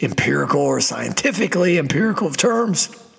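A man talks while music plays in the background. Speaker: podcast host. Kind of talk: casual monologue. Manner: hesitant with fillers.

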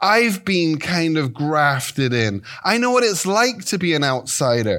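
On a very clean recording with a silent background, a man with an English accent speaks at a fairly slow pace in a high pitch with very wide pitch swings. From England, Devon. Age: 50s. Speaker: guest preacher. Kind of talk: sermon. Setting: church.

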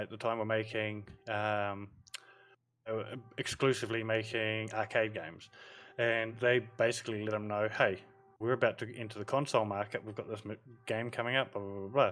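At a moderate pace, a man speaks with a New Zealand accent. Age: 40s. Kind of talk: casual chat. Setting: video call.

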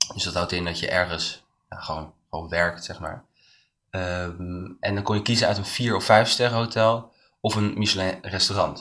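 A man speaks with a very deep, low pitch and a bright, sharp tone. His pace is moderate, his intonation fairly even, and the recording very clean with a silent background. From Netherlands, Leiden. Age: 20s. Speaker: hospitality student and cook. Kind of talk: interview. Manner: hesitant, many fillers.

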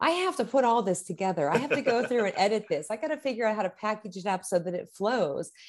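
A woman with an American accent speaks at a very fast pace in a fairly high voice. Her pitch swings very widely, and she hardly pauses at all. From Pittsburgh, Pennsylvania. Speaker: teacher and author. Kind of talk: interview.

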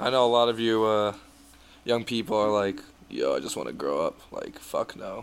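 A playful tone with an American accent. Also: man. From Michigan, US. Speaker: podcast host. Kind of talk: casual banter. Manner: joking, playful.

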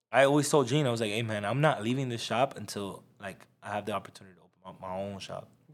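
An unremarkable speaking voice from a man of medium pitch, fairly quick pace, ordinary pitch variation and big swings in loudness, on a very clean recording with a silent background. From South Florida. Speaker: barber. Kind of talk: casual chat.

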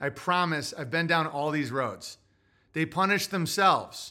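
In a very clean recording with a silent background, a man with an American accent talks at a fairly slow pace in a fairly high pitch with a bright, sharp tone. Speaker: livestream podcast host. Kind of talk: casual livestream monologue with commentary. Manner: rambling, profane, opinionated.

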